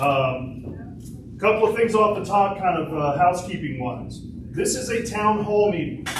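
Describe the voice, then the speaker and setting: A loud, high-pitched man with lively intonation at a moderate pace over noticeable background noise. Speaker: town mayor. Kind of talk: town hall address. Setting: town hall meeting with audience.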